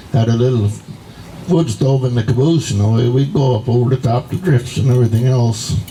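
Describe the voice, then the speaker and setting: Over noticeable background noise, a man talks at a fairly quick pace and a medium pitch. His loudness stays very even, and his pitch variation is ordinary. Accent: American. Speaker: elderly relative reminiscing. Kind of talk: casual chat.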